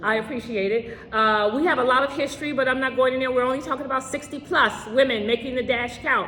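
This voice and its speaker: At a very fast pace with hardly any pauses, a woman speaks in a high, upbeat voice over noticeable background noise. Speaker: interview host. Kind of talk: interview host talk.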